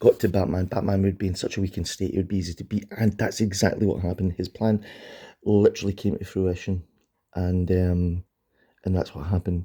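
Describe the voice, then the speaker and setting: On a very clean recording with a silent background, a man with a very deep, low pitch and a dark, mellow, somewhat breathy tone speaks at a fairly quick pace in a monotone, flat intonation. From Scotland. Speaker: comic book collector channel host. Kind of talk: casual video review. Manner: casual, many fillers.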